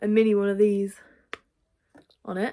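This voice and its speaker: With a British accent, a woman speaks at a moderate pace, her medium-pitched voice dark and mellow in tone. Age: 20s. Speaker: video creator with Tourette's. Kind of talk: casual vlog talk. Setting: at home, in bedroom. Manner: halting, many fillers.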